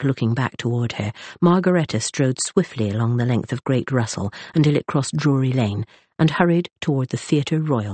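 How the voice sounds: Reading done in a natural voice.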